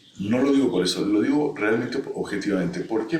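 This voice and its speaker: The voice heard here is a man's. The room around him gives off audible echo. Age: 60s. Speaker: anthropologist. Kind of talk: interview. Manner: halting.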